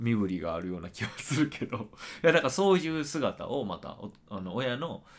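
A man's medium-pitched voice with vocal fry and very wide pitch swings, at a moderate pace. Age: 30s. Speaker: podcast co-host. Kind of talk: casual chat.

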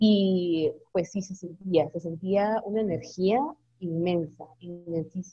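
A woman talks very slowly at medium pitch. Her intonation stays fairly even. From Guatemala, San Juan Comalapa. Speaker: singer-songwriter. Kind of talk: interview.

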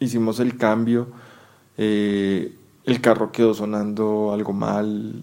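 In a very clean recording with a silent background, a man speaks in a fairly low, dark, mellow tone with monotone, flat intonation. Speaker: football fan. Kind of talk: recorded testimony.

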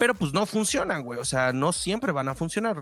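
A man speaks with a Mexican accent. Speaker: podcast co-host. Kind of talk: casual chat.

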